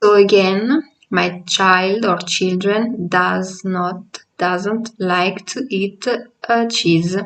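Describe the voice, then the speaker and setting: Speaking very slowly with an Italian accent, a woman keeps a fairly even intonation at a medium pitch. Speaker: language teacher. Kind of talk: tutorial. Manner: halting.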